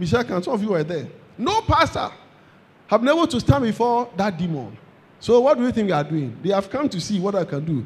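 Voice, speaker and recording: A man talks in a high, animated voice. His pitch swings very widely at a fairly quick pace. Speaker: preacher. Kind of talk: sermon. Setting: church with congregation. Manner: animated, call-and-response, exhorting the congregation to say amen and clap; fervent, repetitive, emphatic.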